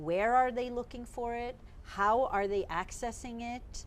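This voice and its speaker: Her pitch fairly high and its variation ordinary, a woman speaks at a fairly slow pace. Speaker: psychotherapist and sex researcher. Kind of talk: interview. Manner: loud.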